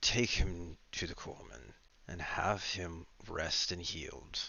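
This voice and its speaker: A man puts on a character voice, very deep and low, speaking at a fairly slow pace. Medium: actual play.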